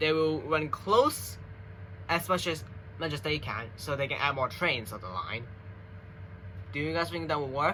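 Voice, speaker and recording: This man's voice has a bright, sharp tone, vocal fry, and very wide pitch swings. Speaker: gaming and transit YouTuber. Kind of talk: casual unscripted monologue. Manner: halting, stuttering.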